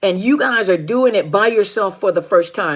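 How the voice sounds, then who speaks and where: A woman talks in a plain, everyday voice. Her medium pitch carries lively intonation. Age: middle-aged. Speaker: life coach on narcissistic abuse. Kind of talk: live stream talk to viewers. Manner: informal, conversational.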